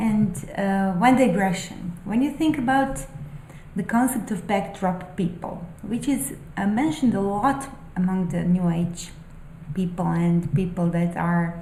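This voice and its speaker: With a non-native accent, a woman of medium pitch speaks at a fairly slow pace with lively intonation, amid noticeable background noise and audible room echo. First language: not English. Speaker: spiritual vlogger and aspiring novelist. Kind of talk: casual monologue, musings. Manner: halting, many fillers.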